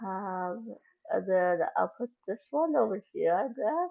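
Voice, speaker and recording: At a very slow pace, a woman talks with very wide pitch swings. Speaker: gaming YouTuber. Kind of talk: gameplay commentary. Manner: hesitant, filler words.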